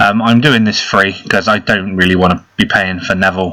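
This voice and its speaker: Noticeable background noise sits under a man speaking at a moderate pace with an English accent. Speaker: mobile game youtuber. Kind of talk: gameplay commentary. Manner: casual.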